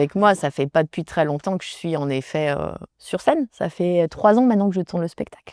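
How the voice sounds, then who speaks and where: A woman speaks at a fairly quick pace with a fairly low pitch. Her pitch variation is ordinary. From France, Loire (Saint-Étienne). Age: 30s. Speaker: stand-up comedian. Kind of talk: interview. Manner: halting, many fillers.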